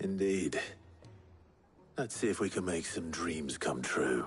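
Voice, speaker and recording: A man puts on a character voice, very deep and low in pitch, raspy yet calm in tone. He goes at a fairly slow pace with music in the background. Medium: video game. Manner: calm, measured.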